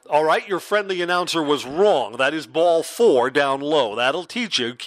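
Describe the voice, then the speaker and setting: In a normal speaking voice, a man talks fairly slowly at a fairly high pitch with lively intonation. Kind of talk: live baseball play-by-play commentary.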